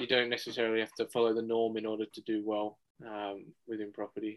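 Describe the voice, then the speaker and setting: A man talks with an Australian accent at a medium pitch. His pace is fairly quick and his intonation monotone and flat. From Western Sydney, Australia. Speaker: buyer's agent. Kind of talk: interview. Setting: studio.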